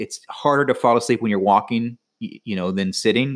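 A man with an American accent and a plain, everyday voice speaks in a medium pitch at a moderate pace. His pitch varies in an ordinary way, and the recording is very clean with a silent background. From Florida. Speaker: podcast co-host. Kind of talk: casual chat.

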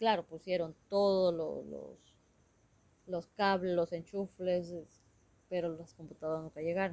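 A fairly low-pitched woman's voice, dark and mellow, flat and monotone, at a fairly slow pace with long, frequent pauses and big swings in loudness. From Ecuador, Shuar community near Bucay. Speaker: Shuar community member and interpreter. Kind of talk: interview.

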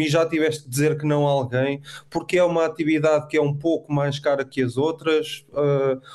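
Against noticeable background noise, a man with a fairly high pitch speaks at a moderate pace. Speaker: co-host. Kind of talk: interview conversation.

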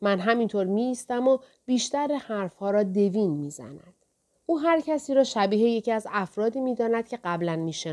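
An unforced reading voice with lively intonation over a quiet background

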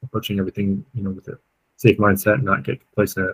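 A man's somewhat breathy, fairly low voice with an American accent. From Colorado. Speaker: guidebook author and climber. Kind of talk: interview.

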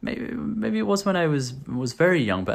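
A man with a British accent is heard on a very clean recording against a silent background. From UK. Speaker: vlogger. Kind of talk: casual monologue to camera. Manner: hesitant, many fillers and repetitions.

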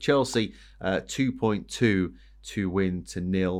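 An ordinary speaking voice from a man, fairly low in pitch with ordinary pitch variation, over a quiet background. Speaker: podcast host. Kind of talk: sports betting preview discussion.

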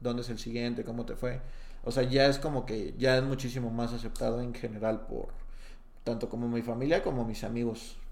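The speech comes at a fairly quick pace with fairly even intonation. Audible room echo surrounds it. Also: man, medium pitch for a man. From Mexico, Jalisco (Tepatitlán de Morelos). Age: 20s. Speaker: stand-up comedian. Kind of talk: casual chat.

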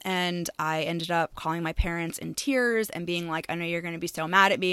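In an American accent, a woman speaks at a moderate pace with a fairly low pitch, a bright, sharp tone and fairly even intonation, on a very clean recording with a silent background. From Maine, US. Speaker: shop owner and podcast host. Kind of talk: casual interview.

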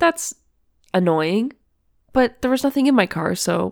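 Delivered at a moderate pace with very wide pitch swings, the speech has a dry, close sound with no echo on a very clean recording with a silent background. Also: woman. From Ontario, Canada. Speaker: podcast host. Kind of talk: casual chat. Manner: chatty, laughs often.

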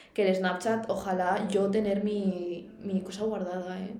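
A woman speaks at medium pitch with monotone, flat intonation, amid noticeable background noise and audible room echo. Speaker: podcast co-host. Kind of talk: casual chat. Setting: university room.

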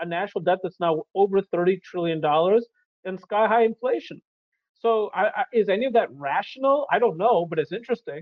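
With ordinary pitch variation, the speech runs at a fairly quick pace. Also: man, high pitch for a man. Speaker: economist. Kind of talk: interview. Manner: animated.

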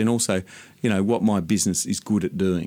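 An Australian-accented man at a fairly low pitch, moderate pace and ordinary pitch variation. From Sydney, Australia (western suburbs). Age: 50s. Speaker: landscape gardener. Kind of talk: interview. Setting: studio.

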